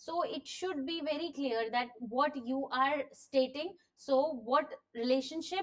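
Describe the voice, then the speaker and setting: A woman's high-pitched voice with ordinary pitch variation, over a quiet background. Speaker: teacher. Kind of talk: lecture.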